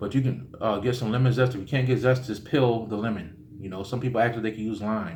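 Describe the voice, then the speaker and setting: A man talks at a very fast pace with a somewhat breathy, medium-pitched voice. Audible room echo surrounds him. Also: fairly even intonation. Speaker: spiritual teacher. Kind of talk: tutorial. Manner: casual, with many fillers.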